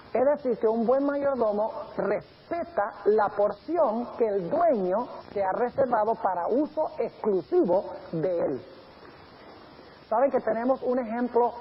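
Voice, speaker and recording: A man speaks at a fairly slow pace, his pitch high and his intonation lively. Noticeable background noise runs behind him. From grew up in Colombia and Venezuela. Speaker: pastor. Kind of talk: sermon.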